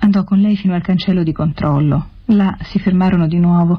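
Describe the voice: Simply plain reading aloud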